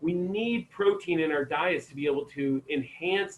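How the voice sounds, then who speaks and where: A somewhat breathy man with an American accent at a moderate pace. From Maine, US. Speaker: chiropractor giving health talk. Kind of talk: online health talk. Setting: video call.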